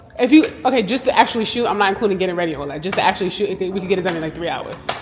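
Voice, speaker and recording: Music plays in the background as a woman talks at a very fast pace with lively intonation. Her pitch is medium, and the room echo is audible. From rural Jamaica. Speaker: fashion and lifestyle vlogger. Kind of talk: vlog. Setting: empty gym. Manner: whispering.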